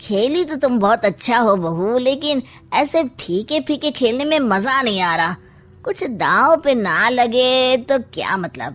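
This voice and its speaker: A woman's cartoonish character voice, high-pitched with lively intonation, over faint music in the background. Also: fairly slow pace. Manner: sly, teasing.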